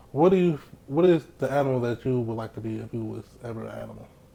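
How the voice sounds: A man speaks fast at a medium pitch, his dark, mellow tone carrying vocal fry and ordinary pitch variation.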